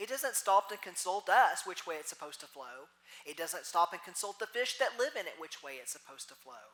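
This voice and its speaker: A woman speaks in a Texas accent at medium pitch and a fairly quick pace. Her pitch swings very widely, and her loudness swings a lot. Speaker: minister. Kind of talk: sermon.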